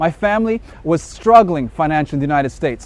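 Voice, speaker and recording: A man with a slight American accent speaks in an animated tone. His intonation is lively. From South Africa, Eastern Cape. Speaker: business co-founder. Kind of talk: sales pitch.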